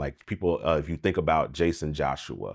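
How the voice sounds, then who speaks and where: At a fairly quick pace, a man speaks in monotone, flat intonation. The background is quiet. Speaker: music producer and mixing engineer YouTuber. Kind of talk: casual commentary monologue.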